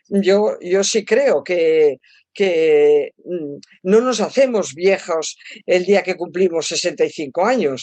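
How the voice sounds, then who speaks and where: A woman speaks at a very slow pace in a medium pitch. Her tone is dark and mellow, and her intonation is lively. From Spain. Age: old. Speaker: psychologist and author. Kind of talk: interview.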